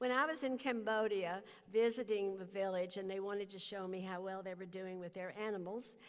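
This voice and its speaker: Audible room echo surrounds a woman speaking at medium pitch and a fairly quick pace with ordinary pitch variation. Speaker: honorary degree recipient, humanitarian leader. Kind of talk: commencement speech. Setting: stage with audience.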